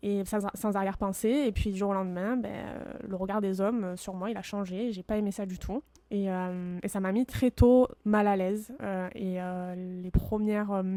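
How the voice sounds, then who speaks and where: Her tone dark and mellow, a woman speaks at a moderate pace in a medium pitch with fairly even intonation. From France, Marseille. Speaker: podcaster. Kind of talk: personal storytelling monologue. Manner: hesitant, many fillers.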